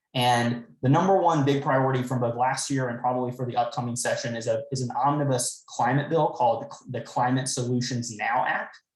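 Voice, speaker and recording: In a room with audible echo, a man of medium pitch talks at a fairly quick pace with fairly even intonation and hardly any pauses. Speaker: state legislator. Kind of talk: town hall briefing. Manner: fast.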